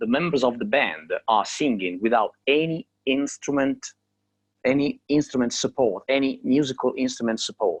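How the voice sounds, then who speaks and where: This man speaks with an Italian accent. The sound is dry and close, with no echo. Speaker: a cappella singer. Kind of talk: interview. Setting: video call from home.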